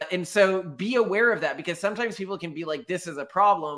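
Speaking at a very fast pace, a man uses lively intonation and an American accent. The background is quiet. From Texas. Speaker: podcast co-host. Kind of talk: casual chat. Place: home room.

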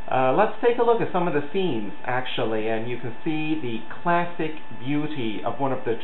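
Light background noise and audible room echo around a man's moderate-paced speech. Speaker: video reviewer. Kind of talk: casual review commentary. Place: home room. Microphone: webcam.

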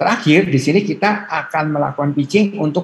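A man's somewhat breathy, fairly high-pitched voice with ordinary pitch variation at a moderate pace, over light background noise. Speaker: university lecturer presenter; presenter. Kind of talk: presentation to students. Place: home room. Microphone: video call.

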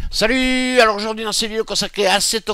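Very fast and raised in projection, a man speaks at a high pitch with a bright, sharp tone over a quiet background. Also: dry sound with no echo. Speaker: sim racing youtuber. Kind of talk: casual gaming commentary. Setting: home recording, gameplay voiceover. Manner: informal, chatty, thinking aloud. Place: home room. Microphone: headset.

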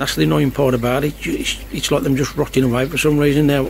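The intonation stays fairly even. The sound is dry with no echo, with light background noise. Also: man. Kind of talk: casual vlog chat. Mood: worried, subdued. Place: garden. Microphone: phone near.

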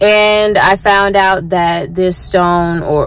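A woman's fairly even intonation, dry with no echo. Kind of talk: casual vlog chat. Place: car. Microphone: phone near.

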